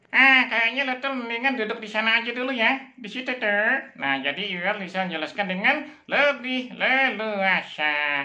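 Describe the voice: At a moderate pace, a man puts on a character voice pitched extremely high.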